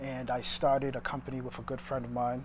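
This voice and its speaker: A man talks at a fairly quick pace and medium pitch. His voice is somewhat breathy. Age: 30s. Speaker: entrepreneur. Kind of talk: interview. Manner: halting.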